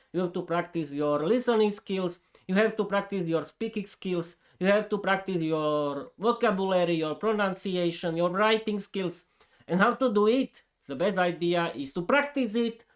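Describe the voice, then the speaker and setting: With a Slovak accent, a man speaks at a moderate pace, his pitch high and his pitch variation ordinary. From eastern Slovakia. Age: 30s. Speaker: podcaster, English learner. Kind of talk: unscripted monologue. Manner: hesitant, with fillers and restarts.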